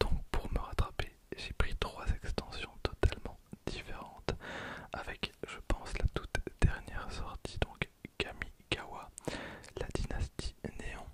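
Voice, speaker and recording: A man whispers in a calm tone at a very slow pace, with long, frequent pauses and big swings in loudness. Noticeable background noise runs underneath. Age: 20s. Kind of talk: ASMR card pack opening. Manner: whispered, close to microphone; calm, relaxing.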